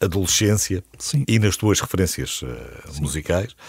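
A man talks at a moderate speed in a very deep, low voice, with ordinary pitch variation. The background is silent on this very clean recording. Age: 50s. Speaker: radio host. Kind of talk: interview.

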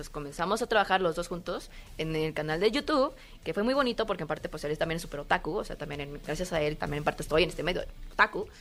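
A woman's fairly low voice, lively in intonation, at a very fast pace. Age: 20s. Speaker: cosplayer. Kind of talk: casual interview chat. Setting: convention floor.

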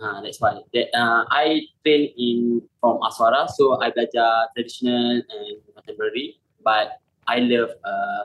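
At a fairly slow pace, a man speaks with a fairly bright tone and medium pitch.

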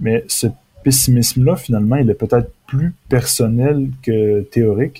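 Speaking fairly slowly, a man with a medium pitch and ordinary pitch variation has a dark, mellow tone that is somewhat breathy. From Quebec, Beauce region. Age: 20s. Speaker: author. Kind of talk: interview.

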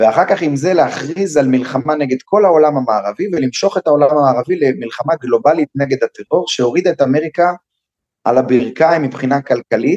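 A man talks at a moderate pace in a fairly high pitch with very wide pitch swings and a dark, mellow tone. The sound is dry and close, with no echo. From Jerusalem, Israel. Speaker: security expert and educator. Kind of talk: interview. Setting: video call.

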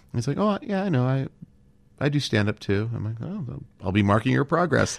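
Very fast speech in an American accent. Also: man. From Southern California (Los Angeles). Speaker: comedy writer and actor. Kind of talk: casual interview chat.

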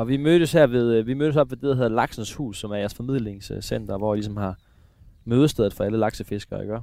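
A man's dark, mellow voice at medium pitch, very fast pace and ordinary pitch variation. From eastern Denmark. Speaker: radio host and angler. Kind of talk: casual chat. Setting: outdoors.

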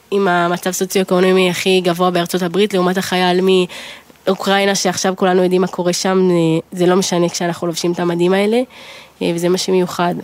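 A woman talks at a medium pitch and a fairly quick pace, her loudness very even and her intonation monotone and flat. Noticeable background noise runs under the recording. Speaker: army company commander. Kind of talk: interview.

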